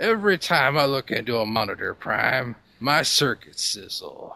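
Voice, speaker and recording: A man's put-on character voice, pitched fairly high. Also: moderate pace. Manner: terrible, exaggerated robot voice.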